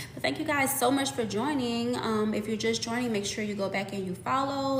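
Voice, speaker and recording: A woman speaks at a moderate pace with ordinary pitch variation. Audible room echo and noticeable background noise surround her. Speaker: fitness content creator. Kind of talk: live stream chat. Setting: live stream. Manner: casual, filler-heavy.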